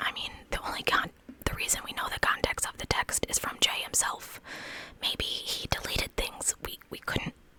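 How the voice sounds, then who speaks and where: A woman talks in a whisper at a moderate pace. Background noise is noticeable throughout. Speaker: true crime ASMR creator. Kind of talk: whispered true crime storytelling. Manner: whispered.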